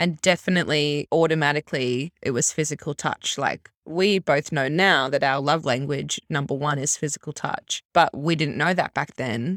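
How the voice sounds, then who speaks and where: In an Australian accent, the speech runs with hardly any pauses and fairly even intonation, its sound dry and close with no echo. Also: woman, very deep, low pitch for a woman, moderate pace. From Australia, Brisbane. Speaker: podcast co-host and primary school teacher. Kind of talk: casual chat.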